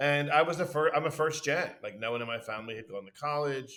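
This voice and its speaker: A man with a Philadelphia accent. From Philadelphia, US (Southwest Philly). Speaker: university administrator. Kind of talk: casual interview chat. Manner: talkative, fast; loud.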